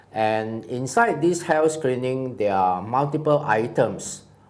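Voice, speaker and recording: With audible room echo around him, a man of medium pitch speaks with lively intonation. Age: 60s. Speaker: cancer survivor, retiree. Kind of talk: personal testimony. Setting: studio.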